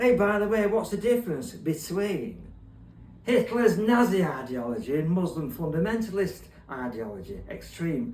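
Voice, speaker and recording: A man with a Cockney accent speaks at a moderate pace in a high pitch with very wide pitch swings, and audible room echo around him. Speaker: online poet and political commentator. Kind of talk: political monologue with spoken poetry.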